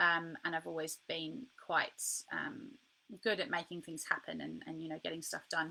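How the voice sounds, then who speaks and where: Her voice has a bright, sharp tone, a fairly low pitch and vocal fry. The woman speaks at a moderate pace. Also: lively intonation. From England, Birmingham. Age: 20s. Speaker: author and life coach. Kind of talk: interview.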